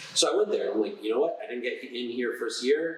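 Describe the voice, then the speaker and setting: A man with an American accent, talking fairly quickly amid audible room echo. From New Jersey, US (Newark). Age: 30s. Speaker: doctor. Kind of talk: casual interview. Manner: halting.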